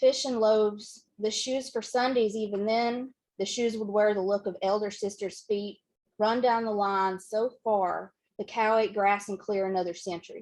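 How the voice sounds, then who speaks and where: Here a woman speaks with a Southern accent. Her fairly high voice moves at a moderate pace. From western Kentucky. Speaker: poet. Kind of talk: poetry reading. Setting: bookshop reading, hybrid with Zoom.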